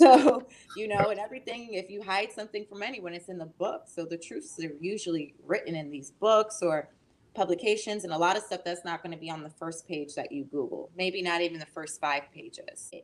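A woman with an American accent talks at a fairly quick pace, her pitch in the middle range and her intonation lively. Her loudness swings widely, and she has an unremarkable speaking voice. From Massachusetts. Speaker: actress. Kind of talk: interview.

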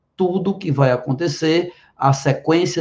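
The voice has a dark, mellow tone and is somewhat breathy, moving at a moderate pace with ordinary pitch variation. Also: man. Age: 50s. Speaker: biology teacher and physician. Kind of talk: direct-to-camera explanation.

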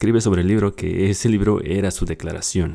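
A very deep, low male voice with a dark, mellow tone and a Mexican accent, in a very clean recording with a silent background. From Mexico. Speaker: book podcast host. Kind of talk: book summary monologue.

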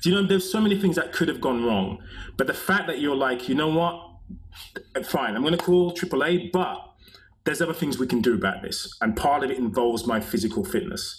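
Over noticeable background noise, a man with a high voice speaks at a fairly quick pace with lively intonation. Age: 50s. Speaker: movement coach and author. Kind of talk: casual interview chat.

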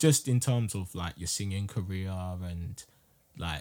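On a very clean recording with a silent background, a man with a London accent talks at a fairly slow pace in a very deep, low pitch. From South London. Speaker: podcast host. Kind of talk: casual chat.

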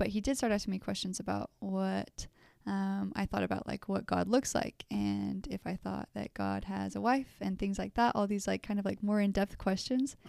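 A woman with an American accent talks with hardly any pauses, the sound dry and close with no echo. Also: moderate pace. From southern Utah, St. George. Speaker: returned missionary and university student. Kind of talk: casual interview.

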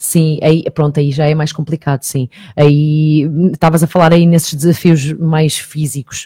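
The tone is dark and mellow, with monotone, flat intonation. The sound is dry and close, with no echo. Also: woman, very deep, low pitch for a woman. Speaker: TV presenter and online magazine journalist. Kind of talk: radio interview. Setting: radio studio. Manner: talkative, fast.

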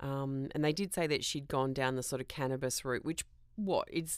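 In a very clean recording with a silent background, a woman speaks at a very deep, low pitch with an Australian accent. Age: 40s. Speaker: podcast host. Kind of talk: casual solo monologue.

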